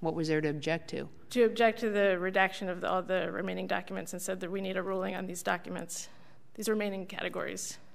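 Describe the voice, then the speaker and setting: A woman's medium-pitched voice with vocal fry, fairly even intonation and a very fast pace. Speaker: government lawyer. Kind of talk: appellate oral argument. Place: hall. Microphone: podium.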